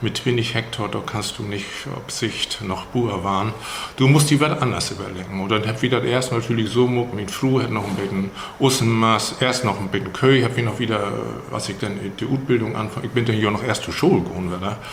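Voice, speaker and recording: A man at a fairly quick pace with ordinary pitch variation, amid audible room echo and noticeable background noise. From Schleswig-Holstein, Steinburg district (Herzhorn). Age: 70s. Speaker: retired school headmaster. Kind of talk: casual interview in Low German. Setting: room in a museum.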